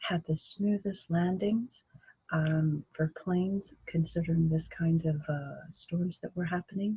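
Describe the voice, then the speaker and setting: A woman speaks at a very slow pace in a fairly low, dark and mellow voice that is somewhat breathy, with fairly even intonation and a dry, close sound with no echo. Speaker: video blogger. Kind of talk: casual vlog monologue. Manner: slow, many fillers; halting.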